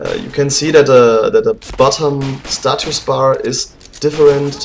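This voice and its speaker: Amid noticeable background noise, a man speaks with a non-native accent. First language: not English. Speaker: game developer. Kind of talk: commented gameplay walkthrough. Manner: hesitant, many fillers.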